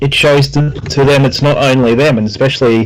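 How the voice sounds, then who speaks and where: In an Australian accent, a man with a fairly high pitch speaks at a moderate pace with ordinary pitch variation. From Brisbane, Australia. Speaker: personal trainer and podcast host. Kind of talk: casual interview.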